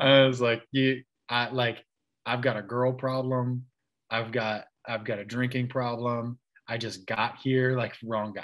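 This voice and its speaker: A man with an American accent speaks fairly slowly in a monotone, flat intonation against a quiet background. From Kansas City, Missouri; Missouri. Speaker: church elder; interview guest. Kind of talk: casual interview. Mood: relaxed, reflective. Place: home room. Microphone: video call.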